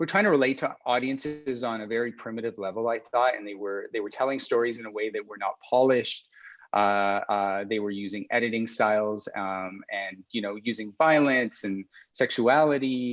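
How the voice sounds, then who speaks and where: Against a quiet background, a man with a Canadian accent speaks at a moderate pace and medium pitch, with ordinary pitch variation. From Canada, Alberta. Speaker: film and television director. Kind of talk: interview conversation. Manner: halting, many fillers and repeats.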